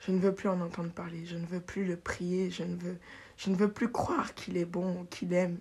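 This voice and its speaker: A woman speaks at a moderate pace in a somewhat breathy, fairly low voice with monotone, flat intonation. The recording is very clean, with a silent background. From Paris, France, raised in Benin. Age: 20s. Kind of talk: personal testimony, faith storytelling, unscripted. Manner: reflective, halting, sincere, emotional; spontaneous, laughs often, self-correcting.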